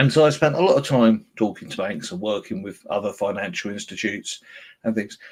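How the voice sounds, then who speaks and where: A man with a British accent speaks at a medium pitch, his intonation lively. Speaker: software vendor presenter. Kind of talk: webinar presentation. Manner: hesitant, frequent filler words.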